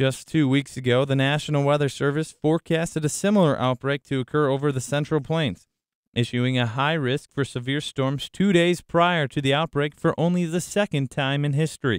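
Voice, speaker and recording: A man speaks in a normal speaking voice, fairly high in pitch. His pace is fairly quick and his intonation fairly even. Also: dry, close sound with no echo, very clean recording, silent background. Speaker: student meteorology reporter. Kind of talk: news report narration.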